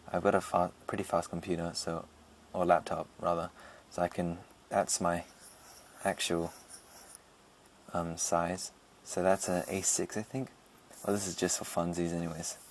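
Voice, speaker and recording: Very deep and low, a man's voice moves at a moderate pace. He leaves long, frequent pauses. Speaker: digital artist. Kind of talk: screen-recorded drawing tutorial narration.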